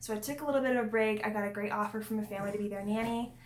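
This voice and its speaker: With audible room echo, a woman talks at a fairly high pitch and keeps her intonation fairly even. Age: 20s. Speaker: vlogger and single foster parent. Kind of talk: casual vlog talk. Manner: conversational with many fillers.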